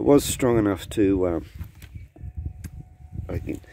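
A man with a fairly low pitch talks at a fairly slow pace with lively intonation, the sound dry with no echo. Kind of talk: casual vlog chat. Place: garden. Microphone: phone near.

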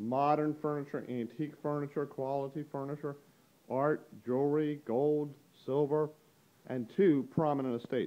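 A dark, mellow tone carries the speech at a moderate pace. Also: man, fairly high pitch for a man. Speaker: auctioneer. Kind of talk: auction preview walkthrough narration to camera. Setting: recorded on location in an auction gallery. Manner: casual, upbeat, brisk. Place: shop. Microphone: phone near.

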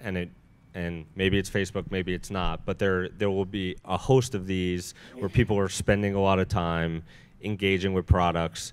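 The voice is an unremarkable speaking voice. It moves at a fairly slow pace. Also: man. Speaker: journalist, senior editor; journalist. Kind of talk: onstage interview questions. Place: stage. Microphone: handheld.

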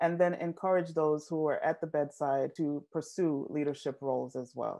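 At a moderate pace, a woman speaks in a dark, mellow tone with ordinary pitch variation against a quiet background. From Jamaica. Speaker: nurse and maternal health advocate. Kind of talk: interview answer. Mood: warm, engaged. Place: home room. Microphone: earbuds.

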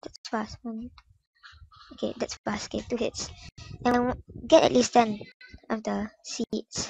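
A woman talks at a very slow pace with long, frequent pauses and big swings in loudness, the sound dry and close with no echo. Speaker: gaming YouTuber. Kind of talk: casual game tutorial voice-over.

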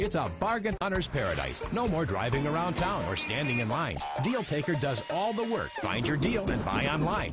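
Over music in the background, a man with a fairly high pitch talks at a moderate pace with very wide pitch swings, very even loudness and hardly any pauses. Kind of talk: TV commercial read.

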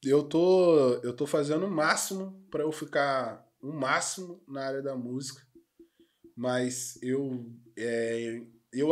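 Against a quiet background, a man speaks at a fairly high pitch with ordinary variation in his pitch. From Rio de Janeiro state, Brazil. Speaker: podcast host; podcast guest. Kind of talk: casual chat. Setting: studio. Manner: slangy, animated. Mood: relaxed, joking. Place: studio. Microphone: studio mic.

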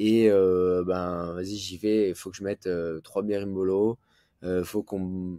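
Over a quiet background, a man with a dark, mellow tone speaks at a fairly slow pace with fairly even intonation, the sound dry with no echo. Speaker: jiu-jitsu teacher and competitor. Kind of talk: casual interview. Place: home room. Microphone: video call.

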